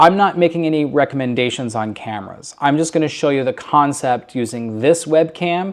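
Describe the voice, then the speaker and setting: A man with an unremarkable speaking voice talks at a moderate pace, fairly high in pitch, with lively intonation. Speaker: church technology specialist. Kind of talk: tutorial. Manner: casual, filler-heavy.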